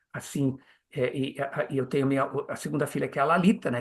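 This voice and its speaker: A man speaks at a very fast pace and a fairly high pitch. His voice sounds somewhat breathy. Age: 70s. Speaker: Hare Krishna preacher and teacher. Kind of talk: interview conversation. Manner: halting, many repetitions and fillers.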